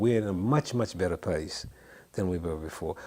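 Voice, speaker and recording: A man with a Memphis accent, lively intonation, and a fairly quick pace. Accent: Southern US, Memphis. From US South. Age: 70s. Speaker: songwriter. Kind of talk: interview. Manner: halting, frequent repetitions.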